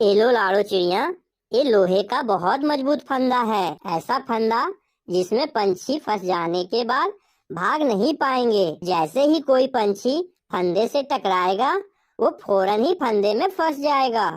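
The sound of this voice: A woman puts on a cartoonish character voice with a fairly high pitch. She speaks at a fairly slow pace on a very clean recording with a silent background.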